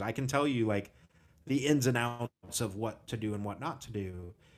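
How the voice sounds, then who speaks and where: Speaking at a moderate pace, a man has an ordinary speaking voice at a medium pitch with ordinary pitch variation. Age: 30s. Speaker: podcast host. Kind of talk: casual chat. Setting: video call.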